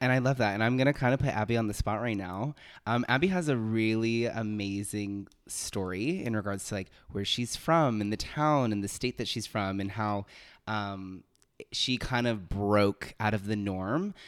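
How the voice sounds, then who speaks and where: A man's normal speaking voice, fairly low in pitch with ordinary pitch variation and a moderate pace, in a very clean recording with a silent background. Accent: American. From Miami, Florida, then Los Angeles. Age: 20s. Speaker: podcast co-host, performing artist. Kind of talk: casual chat.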